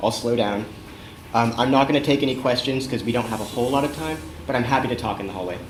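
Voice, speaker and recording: A man talks at a very fast pace at a medium pitch with ordinary pitch variation. Audible room echo and noticeable background noise surround his voice. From California, San Francisco Bay Area. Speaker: web developer and community organizer, conference speaker. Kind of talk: conference talk. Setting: stage with audience.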